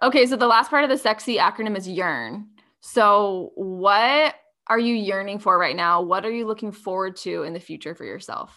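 A woman with an American accent at a medium pitch and moderate pace, bright, sharp tone, ordinary pitch variation and big swings in loudness, on a very clean recording with a silent background. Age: 30s. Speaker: self-love coach and podcaster. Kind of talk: casual chat.

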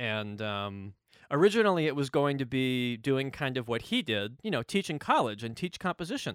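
A man with an American accent and medium pitch, very wide pitch swings, a moderate pace, and a very clean recording with a silent background. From US South, North Carolina. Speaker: video game composer. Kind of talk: interview. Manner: animated.

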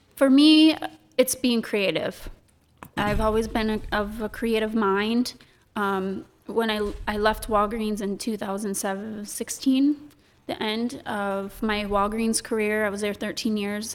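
With an American accent, a woman talks in a normal speaking voice of fairly high pitch, at a fairly slow pace and with fairly even intonation, on a very clean recording with a silent background. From Michigan, US. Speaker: chocolate shop owner. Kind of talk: casual interview chat. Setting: studio.

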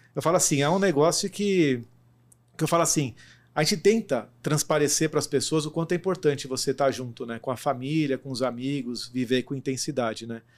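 In a very clean recording with a silent background, a man with a plain, everyday voice speaks fairly quickly at a fairly high pitch with ordinary pitch variation. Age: 30s. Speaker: logistics executive. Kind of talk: interview. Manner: fast.

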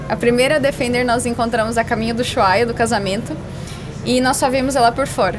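Music plays in the background as a woman speaks fairly quickly in a high pitch, with audible room echo. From Brazil, western Paraná border region (Medianeira). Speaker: overlanding traveller and doctoral student. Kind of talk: casual interview chat. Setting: exhibition stand at a car meet.

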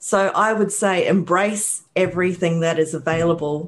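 Against a quiet background, a woman with a New Zealand accent speaks at a moderate pace, her fairly low pitch carried in fairly even intonation. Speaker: rehabilitation counselor and author. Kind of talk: interview.

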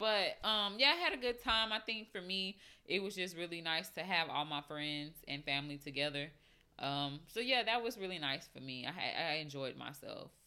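A woman's bright, sharp voice, fairly low in pitch, with very wide pitch swings. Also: moderate pace. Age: 20s. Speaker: podcast host. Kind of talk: casual monologue. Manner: casual, filler-heavy.

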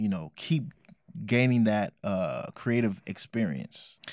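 Lively intonation marks a man speaking at a fairly slow pace, in dry, close sound with no echo. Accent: American. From Oakland, California. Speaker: hip hop artist. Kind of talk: casual interview.

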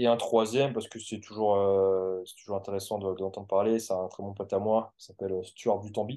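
A man's fairly low, dark, mellow voice at a fairly quick pace, with monotone, flat intonation, hardly any pauses and a quiet background. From France. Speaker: sports coach. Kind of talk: interview.

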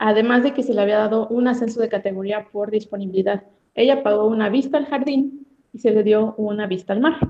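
A woman's dark, mellow voice, fairly high in pitch, with ordinary pitch variation and a fairly quick pace. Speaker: hotel receptionist. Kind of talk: casual chat. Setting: video call.

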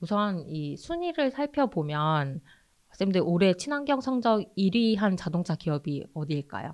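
A woman speaks at a medium pitch. Her voice makes very wide pitch swings. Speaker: climate campaigner. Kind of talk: informative interview chat.

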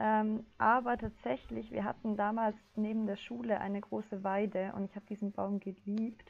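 Fairly even intonation comes through in a normal speaking voice. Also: woman. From southern Germany (Ulm). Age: 20s. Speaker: climate activist, psychology student. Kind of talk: casual interview.

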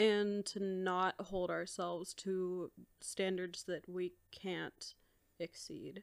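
The delivery is very slow and monotone, with flat intonation and a dry, close sound with no echo. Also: woman, medium pitch for a woman. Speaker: sociology graduate. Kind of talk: casual chat.

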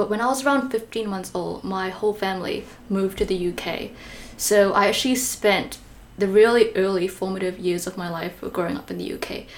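A woman at medium pitch with ordinary pitch variation, over noticeable background noise. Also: moderate pace. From Malaysia. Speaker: podcast host. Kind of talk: casual interview chat.

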